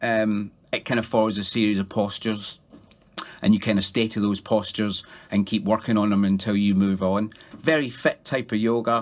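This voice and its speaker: This man has a fairly low pitch and speaks at a moderate pace. His intonation stays monotone and flat. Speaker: yoga teacher and former soldier. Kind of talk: radio interview.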